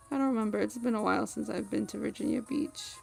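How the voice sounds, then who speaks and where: A woman speaks over music in the background. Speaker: gaming streamer. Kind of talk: casual live stream chat.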